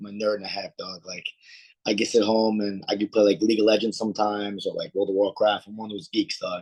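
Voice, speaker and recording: With an American accent and a fairly low pitch, a man rattles off his words at a very fast pace. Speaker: MMA fighter and martial arts instructor. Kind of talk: interview. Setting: live video chat. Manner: fast when excited, words melting together.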